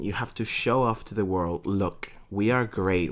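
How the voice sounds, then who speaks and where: An animated man with a Spanish accent at a moderate pace. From Venezuela. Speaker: podcast co-host. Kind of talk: casual chat. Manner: halting.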